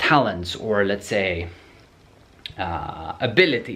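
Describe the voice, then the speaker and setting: A man speaks very slowly with a non-native accent. Audible room echo surrounds his voice. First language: not English. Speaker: programming educator answering viewer questions. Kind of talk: Q&A video answer, casual monologue. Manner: halting, many repetitions and fillers.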